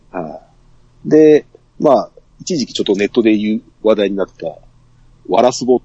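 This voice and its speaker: A man's fairly low voice carries a dark, mellow tone, lively intonation and big swings in loudness, broken by long, frequent pauses. The sound is dry and close, with no echo. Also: fairly quick pace. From Saga, Japan. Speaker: podcast guest. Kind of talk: casual chat.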